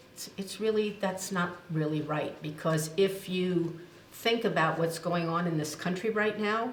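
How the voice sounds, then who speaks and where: Over noticeable background noise and audible room echo, a woman with a fairly low pitch talks at a fairly slow pace with ordinary pitch variation. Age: 80s+. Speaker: nonprofit executive and ethics center founder. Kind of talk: interview.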